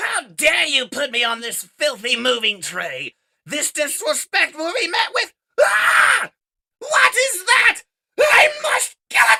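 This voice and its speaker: A shrill, high, put-on character voice shouts in a theatrical tone. The pace is fairly slow. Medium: read story. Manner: shrill, screechy and theatrical.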